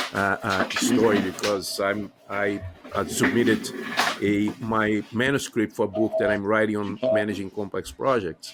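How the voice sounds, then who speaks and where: At a moderate pace, a man with a non-native accent and a fairly low pitch speaks in fairly even intonation amid noticeable background noise. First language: not English. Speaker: podcast host and university teacher. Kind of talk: interview conversation. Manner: halting, many filler sounds.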